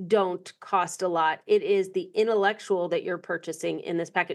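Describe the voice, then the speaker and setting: A woman talks in a plain, everyday voice. The background is quiet. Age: 50s. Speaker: podcast host. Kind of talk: interview.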